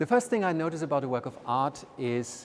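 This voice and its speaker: A man speaks with a German accent. His pace is fairly quick. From Germany. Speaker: art museum director. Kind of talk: interview. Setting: walking through a museum. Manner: halting, many fillers.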